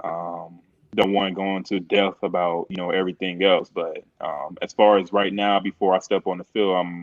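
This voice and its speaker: Speaking at a moderate pace, a man uses a very deep, low voice with monotone, flat intonation. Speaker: professional football defensive tackle. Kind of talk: interview answer. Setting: phone line. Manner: soft-spoken.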